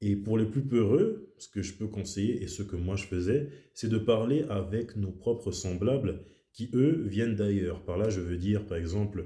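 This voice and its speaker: Amid audible room echo, a man with a fairly low pitch speaks fairly slowly in a dark, mellow, somewhat breathy tone with ordinary pitch variation. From French-speaking Switzerland (born in Kinshasa, Congo). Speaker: YouTuber talking about language and culture. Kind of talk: monologue to camera.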